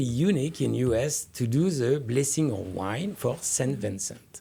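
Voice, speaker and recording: Recorded very cleanly against a silent background, a man at medium pitch speaks at a moderate pace in a somewhat breathy voice. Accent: French. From France. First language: French. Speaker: winemaker. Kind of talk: radio interview.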